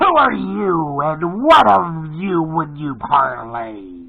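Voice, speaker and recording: A man puts on a character voice, talking at a fairly high pitch and a very slow pace. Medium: read story. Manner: proud, commanding.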